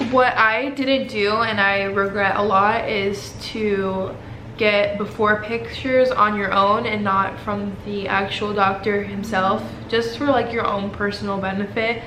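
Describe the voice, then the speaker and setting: Amid noticeable background noise, a woman speaks fairly slowly with fairly even intonation. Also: medium pitch for a woman. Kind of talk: casual talk to camera.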